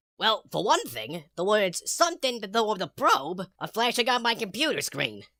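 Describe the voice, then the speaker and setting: Using a cartoonish character voice, a man speaks at a high pitch with very wide pitch swings. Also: moderate pace. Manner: deadpan.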